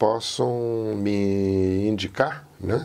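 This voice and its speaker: Here is a man with a fairly low pitch. His tone is dark and mellow. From Portugal and São Paulo interior. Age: 80s+. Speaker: interviewee telling his life story. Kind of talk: oral history interview. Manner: reflective, with many fillers.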